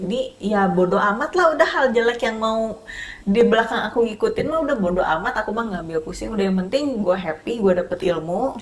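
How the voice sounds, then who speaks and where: In a strong Sundanese accent, a woman with a fairly high pitch talks at a fairly quick pace with lively intonation and hardly any pauses. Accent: thick Sundanese. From West Java, Sundanese. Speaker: makeup artist. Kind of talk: casual interview chat.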